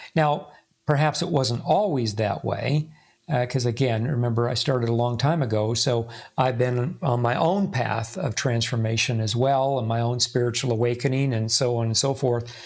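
A somewhat breathy man speaks at a moderate pace. His medium pitch shows ordinary variation. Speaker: spiritual teacher. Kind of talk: casual chat.

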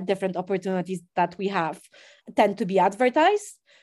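An ordinary speaking voice from a woman at medium pitch, moderate pace and ordinary pitch variation, over a quiet background. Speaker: charity CEO. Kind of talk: casual interview. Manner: informal, filler-heavy.

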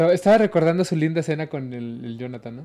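A man's high-pitched voice, dark and mellow in tone, with a Mexican accent. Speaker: horror podcast co-host. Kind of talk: storytelling in casual chat. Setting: live stream. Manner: animated, laughing often.

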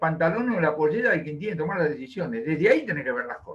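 A man speaks in a Rioplatense accent with a high pitch. His intonation is lively. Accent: Argentine Rioplatense Spanish. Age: 70s. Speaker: economist. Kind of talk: interview. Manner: animated.

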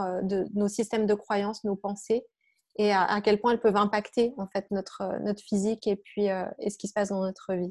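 This woman's voice has a dark, mellow tone at a medium pitch and a monotone, flat intonation. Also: very clean recording, silent background. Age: 40s. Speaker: health coach and yoga teacher. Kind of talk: interview.

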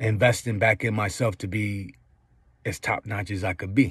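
Fairly even intonation in an unremarkable speaking voice from a man. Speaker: independent hip hop artist and voiceover artist. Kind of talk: casual monologue update to listeners. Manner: casual, conversational, rambling.

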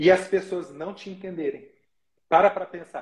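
The voice belongs to a man and sits high in pitch. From Brazil, interior of São Paulo state. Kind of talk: casual live interview chat.

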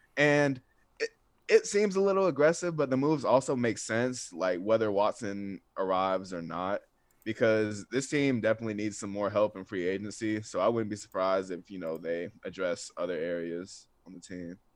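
With an American accent, a man with an unremarkable speaking voice talks at a moderate pace in a fairly low pitch, his loudness swinging a lot. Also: lively intonation, quiet background. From US South, North Atlanta, Georgia. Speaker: sports writer. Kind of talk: casual chat.

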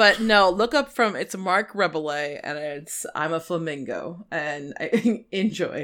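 Talking at a fairly slow pace with hardly any pauses, a woman uses a medium pitch and lively intonation on a very clean recording with a silent background. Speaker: podcast co-host. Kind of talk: casual chat. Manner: animated.

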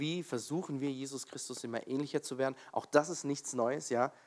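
A man's fairly high-pitched voice with a warm tone comes at a moderate pace in a very clean recording with a silent background and a dry, close sound with no echo. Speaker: preacher. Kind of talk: sermon in a church, opening with prayer and then teaching on Bible stories. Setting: church with congregation. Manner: conversational and slightly halting, with fillers and self-corrections.

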